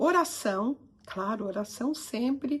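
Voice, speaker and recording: Lively intonation marks a woman's speech, which unfolds very slowly. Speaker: psychoanalyst and coach. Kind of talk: motivational talk to camera.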